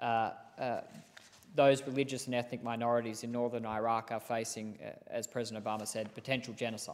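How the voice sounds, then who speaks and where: A man at a fairly quick pace in a monotone, flat intonation. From Australia. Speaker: politician. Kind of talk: parliamentary speech. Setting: parliament chamber. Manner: formal. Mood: serious, earnest. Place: hall.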